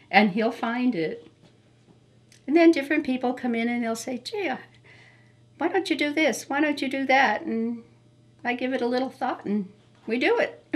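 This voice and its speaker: A woman speaks in a high pitch. She leaves long, frequent pauses. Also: lively intonation, moderate pace. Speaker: hobbyist's wife. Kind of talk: interview.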